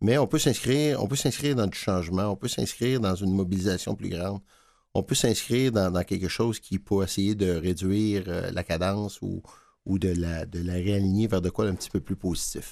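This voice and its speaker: In a plain, everyday voice, a man speaks at a moderate pace with ordinary pitch variation. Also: fairly low pitch for a man. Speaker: food bank director. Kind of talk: interview. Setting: studio.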